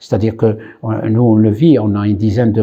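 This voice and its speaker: A man's somewhat breathy voice proceeds at a moderate pace. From Morocco (Khouribga). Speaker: immigrant rights activist. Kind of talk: interview testimony. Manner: hesitant, many fillers.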